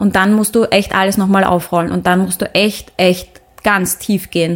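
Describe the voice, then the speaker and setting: This woman has a medium-pitched voice and fairly even intonation. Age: 30s. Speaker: singer and actress. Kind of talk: casual interview. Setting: studio. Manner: halting, many fillers.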